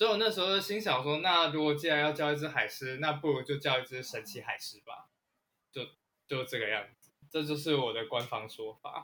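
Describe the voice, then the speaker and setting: A man with a bright, sharp tone talks at a fairly quick pace in a fairly high pitch. His intonation is lively, and his loudness swings widely. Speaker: author and history writer. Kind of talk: casual interview chat.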